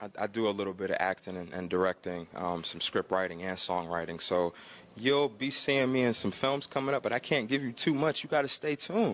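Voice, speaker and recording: A man with an American accent has a plain, everyday voice in a medium pitch. He talks at a moderate pace with lively intonation. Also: hardly any pauses. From Georgia, US South. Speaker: gospel rapper. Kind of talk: casual interview. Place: hall. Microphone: handheld.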